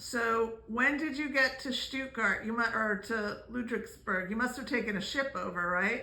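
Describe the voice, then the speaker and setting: With noticeable background noise, a woman talks at a moderate pace and a fairly high pitch, with ordinary pitch variation and hardly any pauses. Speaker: family vlogger. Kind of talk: interviewing a family member. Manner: loud, shouting.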